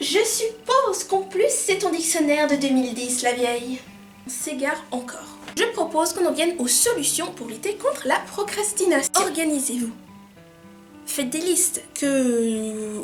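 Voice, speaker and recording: Over background music, a woman with a high voice speaks at a fairly slow pace, her pitch swinging very widely. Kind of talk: casual talk to camera. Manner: whispered, poorly articulated.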